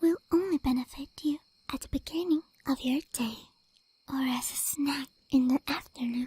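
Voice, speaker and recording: Soft-spoken and high-pitched, a woman talks fairly slowly with a dark, mellow tone and fairly even intonation. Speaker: ASMR vtuber. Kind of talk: ASMR sleep advice talk. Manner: soft-spoken or whispered.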